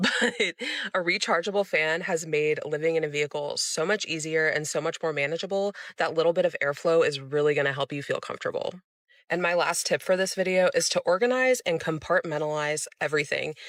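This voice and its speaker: An American-accented woman with an ordinary speaking voice, fairly low in pitch, with ordinary pitch variation, at a fairly quick pace. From Florida. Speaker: van dweller sharing tips. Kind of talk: casual vlog tutorial.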